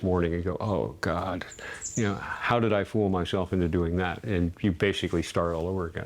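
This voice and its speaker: A man speaks at a fairly quick pace in a very deep, low voice, with ordinary pitch variation. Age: 80s+. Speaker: sculptor. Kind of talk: interview.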